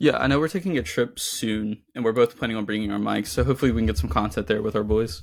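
A man talks at a very fast pace, with very wide pitch swings and vocal fry. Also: fairly low pitch for a man, hardly any pauses. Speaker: podcast co-host. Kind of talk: casual chat.

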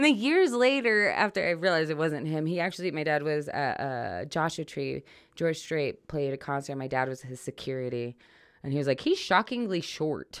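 Recorded very cleanly against a silent background, a woman speaks with lively intonation in a very deep, low pitch. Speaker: stand-up comedian. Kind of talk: casual chat. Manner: fast.

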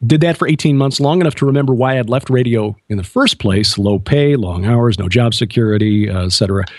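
A man with an American accent talks at a fairly quick pace in an ordinary speaking voice, medium in pitch with ordinary pitch variation and hardly any pauses, on a very clean recording with a silent background. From US Midwest, Chicago. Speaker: author and TV host, former radio broadcaster. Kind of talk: radio interview.

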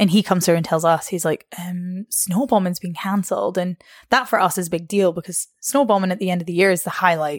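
At a very fast pace, a woman talks at medium pitch with ordinary pitch variation on a very clean recording with a silent background. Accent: Scottish. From northeast Scotland (Arbroath). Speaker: personal trainer. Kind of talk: casual chat. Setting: in person.

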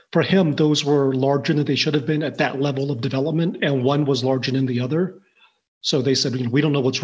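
A somewhat breathy man, very fast and monotone, his intonation flat. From southwest Missouri, born in Taiwan. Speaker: insurance professional, father. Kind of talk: interview conversation.

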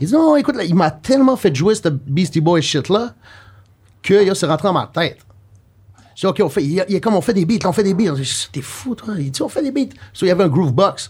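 A man speaks in a high-pitched voice at a fairly quick pace, with very wide pitch swings. He leaves long, frequent pauses. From Quebec, Rimouski. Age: 30s. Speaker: music producer. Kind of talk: casual chat.

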